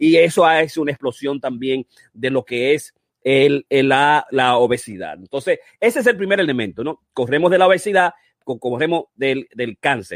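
Speaking at a moderate pace, a man with a fairly high pitch uses an animated tone and lively intonation in a dry, close sound with no echo. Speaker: physician and running-health show host. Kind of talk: online masterclass presentation. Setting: live stream.

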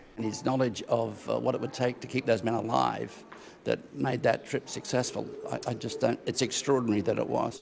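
A man speaks fairly quickly with light noise behind him. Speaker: interview guest. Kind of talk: interview answer. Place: hall. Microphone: handheld.

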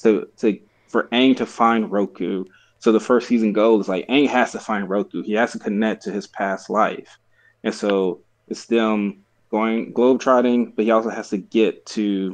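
A man talks in an ordinary speaking voice with a fairly low pitch. His intonation stays fairly even. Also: moderate pace. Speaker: podcast co-host. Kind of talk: casual podcast discussion. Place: home room. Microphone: video call.

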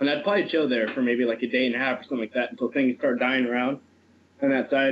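A man's voice with fairly even intonation over light background noise. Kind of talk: casual conversation. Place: home room. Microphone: video call.

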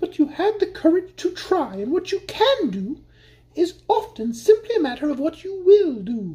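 In a put-on character voice pitched extremely high, a woman speaks at a moderate pace. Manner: grave, serious.

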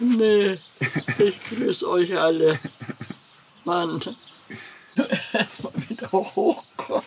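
A woman speaks at a very slow pace with long, frequent pauses. Light background noise is present. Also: lively intonation. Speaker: retired farmer. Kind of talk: casual reaction talk. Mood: amused, joking. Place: farm machine. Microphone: camera far.

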